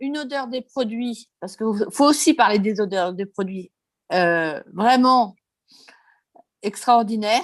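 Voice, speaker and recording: Against a quiet background, a woman speaks very slowly with lively intonation. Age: 60s. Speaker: customer giving testimonial. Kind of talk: testimony.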